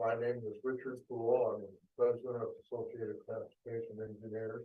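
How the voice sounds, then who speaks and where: Here a man talks. He keeps a moderate pace. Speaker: traffic engineer. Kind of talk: public meeting presentation. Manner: soft-spoken. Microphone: too far from the microphone.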